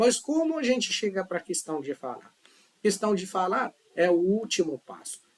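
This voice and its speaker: Lively intonation marks this moderate-paced delivery in a non-native accent. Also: man. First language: not Portuguese (speaking Portuguese). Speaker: language teacher. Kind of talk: tutorial. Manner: casual, conversational.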